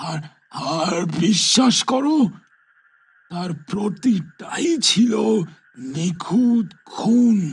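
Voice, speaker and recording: A man puts on a character voice at a high pitch, with lively intonation and a very slow pace. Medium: read story. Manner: lecturing, stammering with repeated words.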